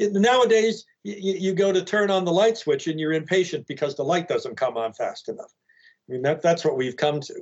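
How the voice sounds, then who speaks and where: This man speaks with an American accent. His high voice has lively intonation. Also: moderate pace. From Arlington, Virginia, US. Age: 60s. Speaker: filmmaker and actor. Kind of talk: casual interview, storytelling.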